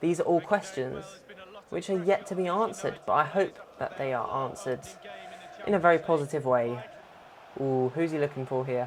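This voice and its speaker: With a fairly high pitch and ordinary pitch variation, a man talks at a fairly quick pace, broken by long, frequent pauses. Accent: British. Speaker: gaming YouTuber. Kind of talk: gameplay commentary. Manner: quieter than usual; animated.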